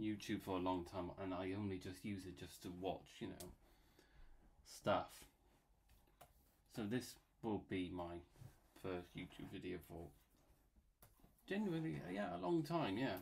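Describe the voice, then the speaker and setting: Using a Bristolian accent, a man with a very deep, low voice speaks at a fairly slow pace with long, frequent pauses. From England, Bristol. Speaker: YouTuber and illustrator. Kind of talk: casual commentary while drawing. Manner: rambling, filler-heavy casual; halting.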